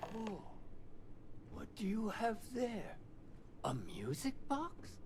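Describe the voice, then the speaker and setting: A man puts on a character voice and speaks at a very slow pace over clear background noise. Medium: video game. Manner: hesitant, wondering.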